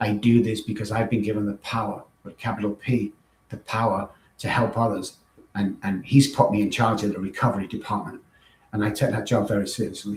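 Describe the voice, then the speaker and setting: A man speaks with an English accent. His pitch is fairly low and his pace fairly quick. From northern England, Manchester. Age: 60s. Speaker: recovery coach and former musician. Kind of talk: podcast interview. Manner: animated.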